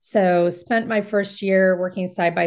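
A woman with a Californian accent and fairly even intonation, set against a quiet background. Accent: Californian American. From US West Coast, Marin County, California. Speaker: real estate agent. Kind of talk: interview.

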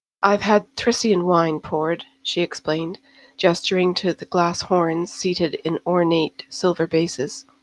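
Fairly slow, fairly low speech from a woman with an ordinary speaking voice and fairly even intonation, in a dry, close sound with no echo. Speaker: audiobook narrator. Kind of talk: fantasy audiobook narration, read aloud from a novel with a brief podcast intro and outro. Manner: measured, even storyteller pacing.

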